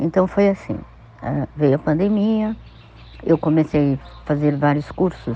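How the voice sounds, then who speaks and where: Her voice is very deep and low, with vocal fry and ordinary pitch variation. The woman keeps a moderate pace. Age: 50s. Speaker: spiritual practitioner. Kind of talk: personal testimony.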